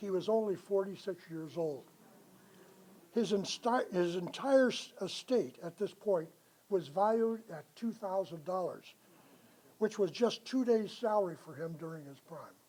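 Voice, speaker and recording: An American accent in a dark, mellow tone, at a fairly slow pace, with ordinary pitch variation and big swings in loudness. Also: man, high pitch for a man. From Culver City, Los Angeles, California. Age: 80s+. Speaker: local historian presenter. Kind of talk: illustrated history talk to a live audience.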